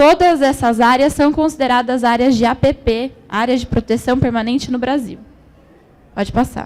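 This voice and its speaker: Her voice sits high in pitch. The rise and fall of her pitch is ordinary. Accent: Brazilian. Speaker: environmental management graduate, speaker. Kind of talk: conference presentation. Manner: slow.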